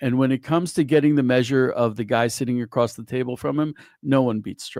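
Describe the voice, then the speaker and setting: A man at medium pitch talks at a fairly quick pace in an unremarkable speaking voice with ordinary pitch variation. The recording is very clean with a silent background, and the sound is dry and close with no echo. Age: 60s. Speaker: rabbi and news writer. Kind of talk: casual discussion.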